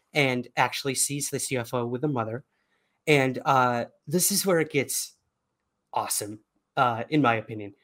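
A man with a fairly high pitch speaks in a New York accent. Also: long, frequent pauses, very clean recording, silent background. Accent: New York American. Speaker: UFO researcher and podcaster. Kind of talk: casual interview conversation.

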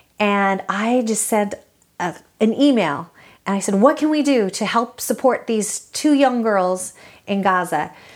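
A woman with an American accent and an ordinary speaking voice speaks at a fairly slow pace and fairly high pitch with lively intonation, on a very clean recording with a silent background. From US West Coast, East Salinas, California. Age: 40s. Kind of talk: interview. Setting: at home.

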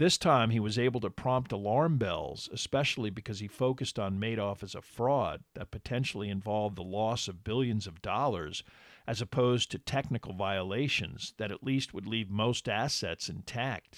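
With an ordinary speaking voice, a man talks at a moderate pace in a medium pitch with ordinary pitch variation and hardly any pauses, on a very clean, dry, close recording with no echo and a silent background. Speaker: podcast host and narrator. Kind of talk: true-crime narration, scripted and read steadily in a documentary style. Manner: measured, even-paced and formal, serious tone; clear and authoritative, like a lecture.

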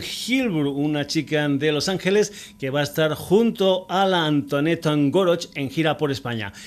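With lively intonation, a man uses a normal speaking voice at a fairly high pitch. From Extremadura, Spain. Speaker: radio music show host. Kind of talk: radio music show presenting.

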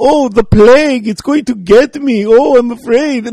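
A man puts on a whiny character voice at an extremely high pitch. He keeps a moderate pace. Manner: mocking, whiny, exaggerated.

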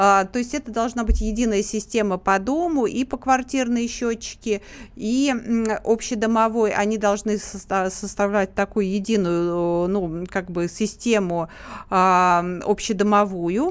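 In a plain, everyday voice, a woman talks at a fairly slow pace and a medium pitch. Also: ordinary pitch variation. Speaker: activist and public chamber member. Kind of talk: radio interview answering questions. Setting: radio studio, live.

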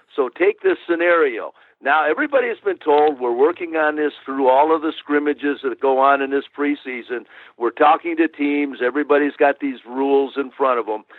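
A man with an ordinary speaking voice, fairly high in pitch, at a fairly quick pace with fairly even intonation. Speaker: retired football official and rules analyst. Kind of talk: interview answers, explanatory.

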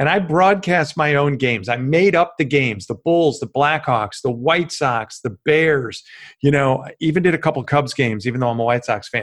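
A man with an American accent and a normal speaking voice, fairly high-pitched, with lively intonation, a moderate pace, hardly any pauses and a quiet background. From US Midwest, Chicago western suburbs. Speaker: former sportscaster and media consultant. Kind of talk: podcast interview.

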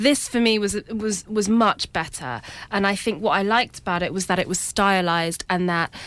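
A plain, everyday voice delivers the words with fairly even intonation. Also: woman. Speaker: film reviewer. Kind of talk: radio panel discussion. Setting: radio studio.

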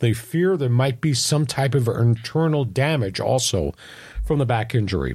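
The voice is somewhat breathy, with lively intonation and very even loudness. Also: man, medium pitch for a man, moderate pace. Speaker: sports talk show host. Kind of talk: sports talk show banter. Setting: studio. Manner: animated, energetic broadcaster.

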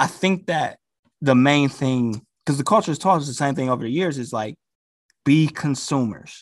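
In a very clean recording with a silent background, a man with a normal speaking voice talks at a moderate pace, his fairly high pitch showing ordinary variation. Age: 30s. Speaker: DJ and investor. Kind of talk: casual chat.

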